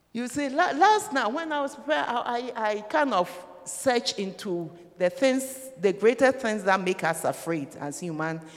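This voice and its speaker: At a moderate speed, the speech comes through with noticeable noise in the background. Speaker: preacher. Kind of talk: sermon. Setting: church. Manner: animated.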